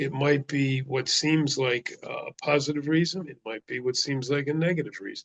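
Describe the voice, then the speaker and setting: The sound is dry and close with no echo as a man speaks at a moderate pace. His fairly high voice is somewhat breathy, with ordinary pitch variation. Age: 70s. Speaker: traditional healer and spiritual speaker. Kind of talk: spiritual talk. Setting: video call.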